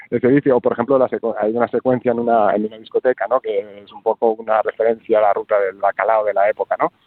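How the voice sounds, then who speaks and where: Very fast and marked by big shifts in loudness, the man's speech races along. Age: 40s. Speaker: film director. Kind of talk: interview. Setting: phone call.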